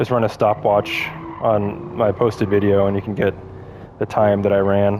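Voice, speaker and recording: A man at a fairly low pitch and moderate pace, over noticeable background noise. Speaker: sim racing gameplay commentator. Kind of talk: live gameplay commentary. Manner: casual, halting with fillers.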